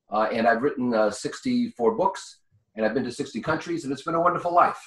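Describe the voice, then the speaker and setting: A man speaks very fast with a New York accent. His voice is fairly high, with lively intonation. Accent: New York speech pattern. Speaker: business consultant and author. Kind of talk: interview.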